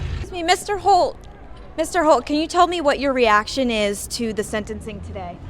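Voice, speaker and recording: A woman talks at a fairly quick pace in a high pitch, her pitch swinging very widely and her loudness in big swings, with music in the background. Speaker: TV news reporter and fill-in anchor. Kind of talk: reporter asking questions and narrating a package. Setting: TV news field reporting.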